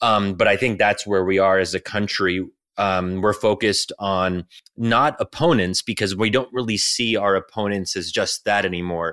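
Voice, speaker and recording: In a very clean recording with a silent background and a dry, close sound with no echo, a man with an ordinary speaking voice talks at a fairly low pitch with fairly even intonation. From United States. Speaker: think tank scholar and author. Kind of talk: interview conversation.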